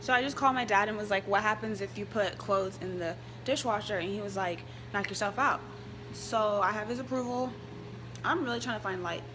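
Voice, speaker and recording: A woman with an American accent talks at a fairly quick pace. Background noise is noticeable. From Dallas, Texas. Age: 20s. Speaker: college student vlogger. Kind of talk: casual vlog talk to camera. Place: kitchen. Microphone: phone near.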